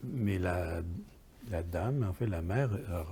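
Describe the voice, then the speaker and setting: A man with a Quebec accent speaks at a very slow pace in a very deep, low pitch with ordinary pitch variation. His tone is dark and mellow, and somewhat breathy. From Quebec, Montreal area (Verdun). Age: 70s. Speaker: poet and writer, software publisher founder. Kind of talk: interview. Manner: halting, many hesitations and repetitions.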